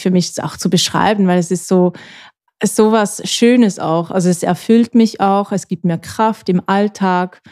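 A woman talks at a fairly slow pace with fairly even intonation and a dark, mellow tone. The sound is dry and close, with no echo. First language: Swiss German (speaking German). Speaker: podcast co-host. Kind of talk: casual chat.

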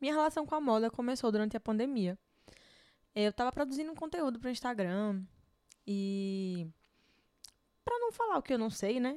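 Her intonation lively, a woman talks at a fairly quick pace in a high voice. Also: very clean recording, silent background. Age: 20s. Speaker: style consultant and podcast host. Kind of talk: solo podcast monologue.

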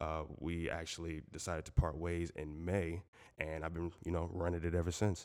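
A man's very deep, low pitch in a monotone, flat intonation at a moderate pace, on a very clean recording with a silent background. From Southwest Florida. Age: 20s. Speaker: sports media entrepreneur. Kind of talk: casual interview.

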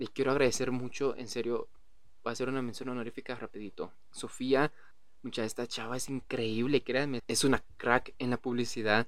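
Monotone, flat intonation from a man, medium-pitched and moderately paced. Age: 20s. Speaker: podcast host. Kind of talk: casual monologue.

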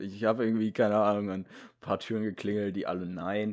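The man speaks in an animated tone. His recording is very clean, with a silent background. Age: young (18). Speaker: podcast co-host. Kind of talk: casual chat. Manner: animated, frequent laughter.

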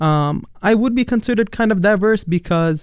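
A man with an Arabic accent, against a quiet background. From Palestine, later New York and Dubai. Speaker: international college student. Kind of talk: casual interview. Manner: hesitant, with fillers.

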